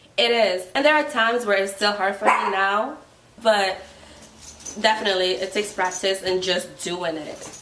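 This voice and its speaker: At a moderate pace, a woman with a Ghanaian accent speaks at a medium pitch with ordinary pitch variation. Audible room echo and noticeable background noise fill the recording. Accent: Ghanaian accent picked up from trip. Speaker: guest friend. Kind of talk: casual chat.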